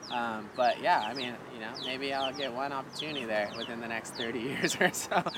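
Spoken at a moderate pace with hardly any pauses, the clip carries noticeable background noise. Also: man, medium pitch for a man, ordinary pitch variation. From Hawaii, Kauai. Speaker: professional bodyboarder and cafe owner. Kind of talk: casual interview chat. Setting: outdoor cafe.

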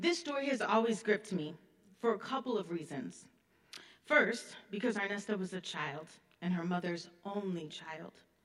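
Amid noticeable background noise, a woman with an American accent speaks at medium pitch. Her intonation is lively and her pace moderate. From US Midwest (Illinois). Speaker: history professor. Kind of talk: keynote lecture. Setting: stage with audience.

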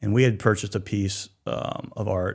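A man speaks in a Mid-Atlantic American accent at a moderate pace. The recording is very clean with a silent background. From southern Pennsylvania, Hanover. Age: 50s. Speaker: shellfish distribution business owner. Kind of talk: radio interview. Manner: many filler words and restarts.

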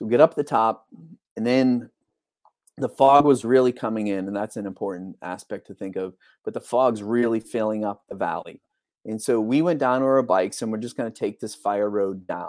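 A man's medium-pitched, normal speaking voice with an American accent, at a moderate pace with ordinary pitch variation, in a very clean recording with a silent background and a dry, close sound with no echo. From Texas. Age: 50s. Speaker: air force veteran and accident survivor. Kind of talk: interview, personal story. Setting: live podcast.

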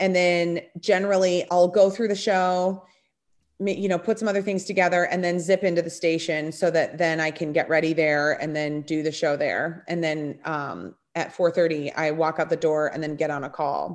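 A woman with an American accent and a plain, everyday voice, fairly low in pitch, at a moderate pace with fairly even intonation against a quiet background. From Minnesota, US Upper Midwest. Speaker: television and radio personality. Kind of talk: casual interview chat.

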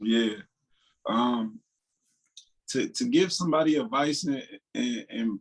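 A man with an American accent speaks at a fairly high pitch, his voice swinging very widely in pitch. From Dayton, Ohio. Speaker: rapper. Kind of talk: interview. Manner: casual, laid-back.

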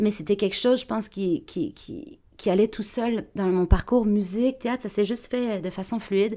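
Recorded very cleanly against a silent background, a woman speaks at a moderate pace in a fairly high pitch, with a dark, mellow tone and ordinary pitch variation. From France. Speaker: actress and voice actor. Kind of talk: interview. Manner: bright, sparkling energy.

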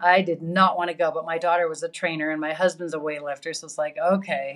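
A plain, everyday voice belongs to a woman speaking at a fairly low pitch and fairly quick pace with fairly even intonation in a very clean recording with a silent background. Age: 60s. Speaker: yoga teacher. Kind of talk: casual chat.

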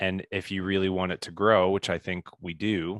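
A man speaks in a very deep, low voice at a moderate pace, his intonation flat and monotone. The sound is dry and close with no echo, over a quiet background. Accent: Midwestern US. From Indiana. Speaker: business coach and keynote speaker. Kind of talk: interview.

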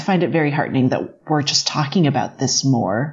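A moderate pace and lively intonation, with noticeable background noise underneath. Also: woman. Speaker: test cook and TV cooking presenter, guest co-host. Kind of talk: casual chat.

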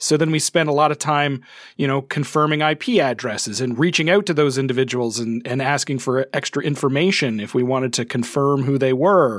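Here a man with an unremarkable speaking voice talks at a fairly quick pace with hardly any pauses, a fairly high pitch and ordinary pitch variation. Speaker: podcast host. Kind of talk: casual chat. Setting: video call.

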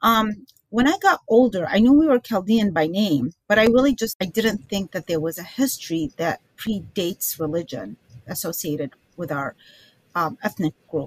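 An ordinary speaking voice from a woman at a medium pitch, with lively intonation at a moderate pace, dry and close with no echo. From Iraq (Baghdad), moved to the US as a child. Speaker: author and filmmaker. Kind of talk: interview.

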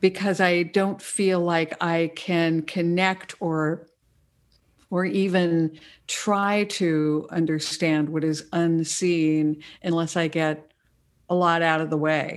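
On a very clean recording with a silent background, a woman speaks at a fairly low pitch. Her pace is very slow and her intonation monotone and flat. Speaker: public radio host and interfaith minister. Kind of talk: casual spiritual conversation. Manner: calm.

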